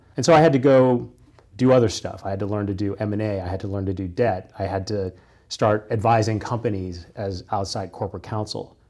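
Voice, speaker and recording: In a very clean recording with a silent background, a man with a Midwestern American accent speaks fairly quickly in a dark, mellow tone, his fairly low pitch showing ordinary variation. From US Midwest, Kansas. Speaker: corporate lawyer. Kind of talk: interview conversation.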